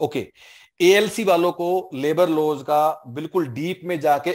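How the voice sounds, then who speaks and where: A man is speaking. The background is quiet. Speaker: exam coaching teacher. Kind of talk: online class Q&A answer. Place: office. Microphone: headset.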